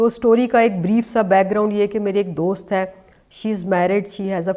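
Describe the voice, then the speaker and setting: In a very clean recording with a silent background, a woman speaks at a moderate pace and medium pitch, her tone dark and mellow and her pitch variation ordinary. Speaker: YouTuber discussing social issues. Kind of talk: casual talk to camera.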